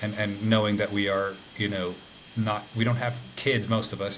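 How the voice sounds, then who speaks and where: Monotone and flat, the speech moves at a moderate pace with noticeable background noise and audible room echo. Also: man. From Ireland (Dublin). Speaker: interview guest. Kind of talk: casual interview. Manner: halting, many fillers.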